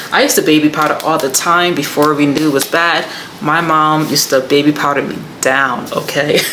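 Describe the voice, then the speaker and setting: Over noticeable background noise and audible room echo, a woman with a very deep, low pitch speaks at a fairly quick pace. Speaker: beauty vlogger. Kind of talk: casual vlog haul. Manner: animated.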